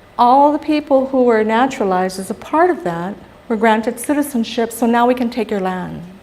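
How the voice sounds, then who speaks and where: Speaking with a Guamanian accent, a woman talks at a fairly quick pace in a fairly high pitch with lively intonation. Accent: Chamorro Guamanian English. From Guam (Barrigada). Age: 60s. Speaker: psychologist giving a public talk. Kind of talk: lecture. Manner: animated.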